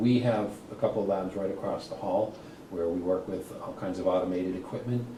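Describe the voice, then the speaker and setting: A man talks at a fairly quick pace with a Boston accent and ordinary pitch variation. Noticeable background noise and audible room echo fill the recording. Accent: Boston-area New England. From Massachusetts (Worcester). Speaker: college program coordinator. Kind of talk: interview.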